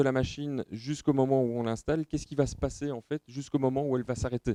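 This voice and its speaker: At a very fast pace, a man with a Belgian accent speaks in a medium pitch with a dark, mellow tone, the sound dry and close with no echo. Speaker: company representative presenting at trade show. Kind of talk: technical presentation. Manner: hesitant, many filler sounds.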